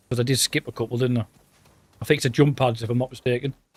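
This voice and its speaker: A man speaks with a Teesside accent. The sound is dry and close, with no echo. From northern England, Redcar (Teesside). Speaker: gaming streamer. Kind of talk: live stream gameplay commentary. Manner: casual, chatty.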